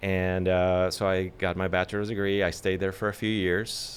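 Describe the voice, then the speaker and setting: A man with a slight Mexican accent speaks at a moderate pace in a very deep, low pitch and a monotone, flat intonation. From Mexico (Culiacán, Sinaloa; later Monterrey). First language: Spanish. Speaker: actor. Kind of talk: casual interview chat. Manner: hesitant, many fillers.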